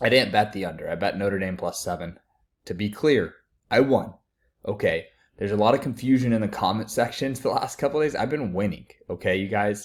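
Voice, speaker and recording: A man with an ordinary speaking voice talks at a fairly quick pace. His medium pitch shows ordinary pitch variation. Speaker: sports betting pundit. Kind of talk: casual online video talk.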